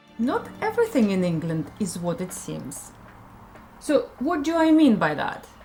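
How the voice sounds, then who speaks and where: A woman with a Russian accent speaks with very wide pitch swings over noticeable background noise. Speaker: language school owner and teacher. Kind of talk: scripted educational presentation.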